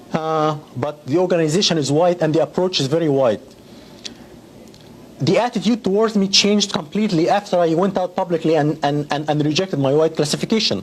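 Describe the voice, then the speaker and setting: Someone with an Arabic accent speaks at a fairly quick pace over noticeable background noise. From Egypt. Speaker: educator, interviewee. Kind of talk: TV interview.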